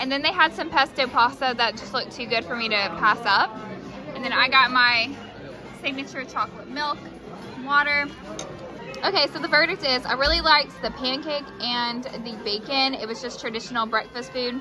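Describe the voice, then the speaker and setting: Clear music plays behind a woman with a high voice who speaks at a moderate pace with ordinary pitch variation. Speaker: food vlogger. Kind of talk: casual vlog food review. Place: cafe. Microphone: phone near.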